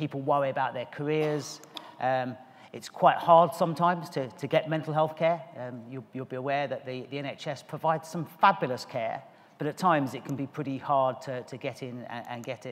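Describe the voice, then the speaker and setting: A man speaks at a moderate pace with fairly even intonation. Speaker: conference speaker. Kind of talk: conference talk. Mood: warm, smiling, relaxed. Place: stage. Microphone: podium.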